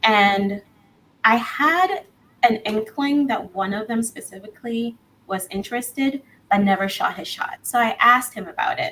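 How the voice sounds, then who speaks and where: Bubbly and bright with a sharp edge, a woman's fairly high voice moves at a moderate pace through very wide pitch swings. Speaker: guest on a dating podcast. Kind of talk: casual chat.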